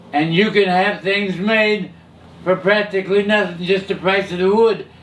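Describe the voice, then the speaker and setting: Here a man with an American accent talks in a high voice. Noticeable background noise runs underneath. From California. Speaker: hot rod pioneer and camshaft maker. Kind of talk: interview answer.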